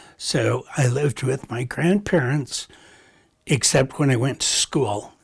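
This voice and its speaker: A man is talking fairly slowly. His pitch is medium. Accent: Western US. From Montana, US. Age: 70s. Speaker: retired art collector. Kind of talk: documentary interview.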